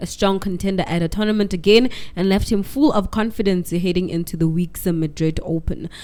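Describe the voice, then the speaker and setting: This woman speaks at a medium pitch and a moderate pace. Her intonation is fairly even. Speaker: radio host. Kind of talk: sports news reading. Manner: loud.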